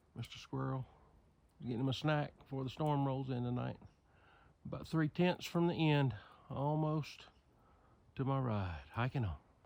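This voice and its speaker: A man with a medium-pitched voice talks at a moderate pace, with ordinary pitch variation and long, frequent pauses. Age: 60s. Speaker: hiker vlogger. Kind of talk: casual chat; vlog narration. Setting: outdoors. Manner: animated.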